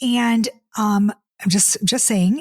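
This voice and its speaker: Breathiness comes through somewhat in this voice. The pitch moves up and down in an ordinary way. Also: woman. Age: 50s. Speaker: dating coach and podcast host. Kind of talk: casual podcast monologue. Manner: animated, repetitive stammering.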